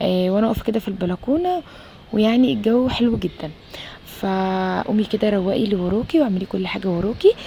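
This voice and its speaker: Soft-spoken and medium in pitch, a woman talks at a moderate pace with ordinary pitch variation over noticeable background noise. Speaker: homemaker vlogger, mother. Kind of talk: casual vlog voiceover. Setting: home balcony at night. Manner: halting, many fillers.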